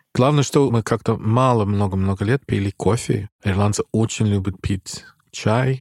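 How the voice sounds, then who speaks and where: With an English accent, a man talks at a fairly low pitch with fairly even intonation and a somewhat breathy quality, in a dry, close sound with no echo. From Ireland, Dublin. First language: English (speaking Russian). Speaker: musician. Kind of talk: casual chat.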